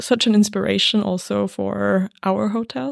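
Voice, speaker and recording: A woman with a German accent at a fairly slow pace and medium pitch, very clean and silent in the background, with a dry, close sound and no echo. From Salzburg, Austria. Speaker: podcast host and hotel owner. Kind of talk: interview.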